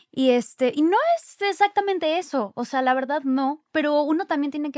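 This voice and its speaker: A woman at a fairly quick pace with lively intonation, dry and close without echo, very clean with a silent background. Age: 20s. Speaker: actress and influencer. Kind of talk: casual chat.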